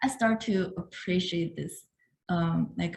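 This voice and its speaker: Somewhat breathy, a woman with a Chinese accent speaks in a fairly low voice with fairly even intonation. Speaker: artist. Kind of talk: talk to an audience. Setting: video call. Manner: halting.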